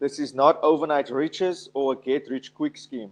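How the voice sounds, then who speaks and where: With an unremarkable speaking voice, the man talks at a moderate pace, fairly high in pitch and with ordinary pitch variation. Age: 30s. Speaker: motivational finance speaker. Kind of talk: webinar presentation. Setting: online webinar. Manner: filler-heavy, frequent 'um'.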